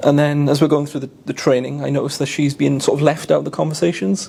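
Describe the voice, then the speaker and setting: A man talks in a South Wales accent at a fairly high pitch. His intonation is flat and monotone, with noticeable background noise behind him. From South Wales (Caerphilly). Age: 20s. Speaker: convert telling his story. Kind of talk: testimony. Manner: casual, repetitive storytelling.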